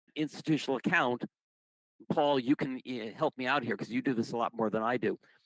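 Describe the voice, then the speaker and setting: A man with a plain, everyday voice speaks at a medium pitch and moderate pace, with ordinary pitch variation, in a dry, close sound with no echo. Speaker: retiree benefits presenter. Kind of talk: informational presentation.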